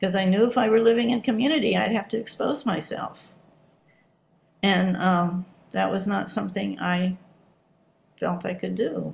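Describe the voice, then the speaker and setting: A woman's medium-pitched voice with vocal fry, ordinary pitch variation, a moderate pace and long, frequent pauses. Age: 70s. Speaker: Zen practitioner giving dharma talk. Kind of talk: dharma talk. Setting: online video meeting. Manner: halting.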